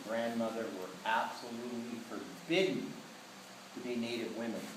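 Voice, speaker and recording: A man at medium pitch and moderate pace, with audible room echo and noticeable background noise. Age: 60s. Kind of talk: speech to an audience. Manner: emphatic.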